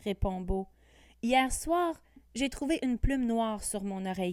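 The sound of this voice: With lively intonation, the voice reads in an unforced way.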